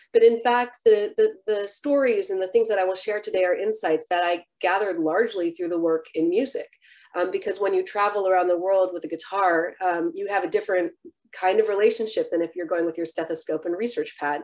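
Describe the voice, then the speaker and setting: A woman's plain, everyday voice with an American accent, medium pitch, ordinary pitch variation and fairly quick pace, against a quiet background. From San Francisco Bay Area, US. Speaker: physician and keynote lecturer; keynote lecturer. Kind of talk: lecture. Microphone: webcam.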